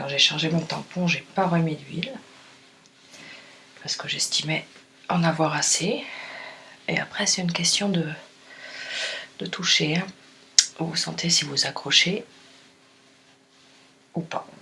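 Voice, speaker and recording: Someone whispers quietly at a very slow pace, with long, frequent pauses. Noticeable background noise runs underneath. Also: woman. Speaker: furniture finisher. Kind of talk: tutorial explanation. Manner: near-whispered, quiet.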